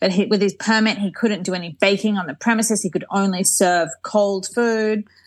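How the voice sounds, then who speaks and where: A woman with an Australian accent talks at a fairly quick pace and medium pitch, somewhat breathy, with fairly even intonation against a quiet background. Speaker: Instagram creator living in Paris. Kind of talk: casual interview chat.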